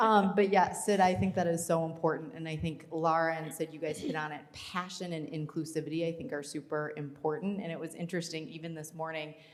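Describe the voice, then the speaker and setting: With an American accent, a woman of fairly low pitch talks at a fairly quick pace with hardly any pauses, ordinary pitch variation, big swings in loudness, and audible room echo. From Minnesota. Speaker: panel moderator. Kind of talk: panel discussion. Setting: stage with audience.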